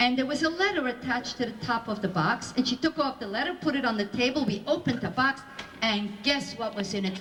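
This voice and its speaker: Noticeable background noise behind a female speaker at a moderate pace. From Belgium. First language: Flemish, French and Yiddish. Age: 60s. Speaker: Holocaust survivor speaker. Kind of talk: testimony to school audience.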